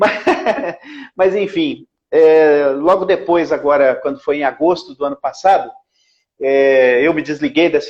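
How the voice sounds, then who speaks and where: A man's unremarkable speaking voice, fairly high in pitch, with ordinary pitch variation. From Brazil, Belo Horizonte (Minas Gerais). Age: 50s. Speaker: lawyer and radio broadcaster, local political candidate. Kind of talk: interview. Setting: Instagram live video call.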